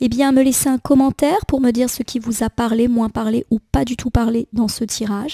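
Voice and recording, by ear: A woman speaks at a fairly quick pace in a fairly high voice with a dark, mellow tone. Her pitch moves little, and the sound is dry and close, with no echo.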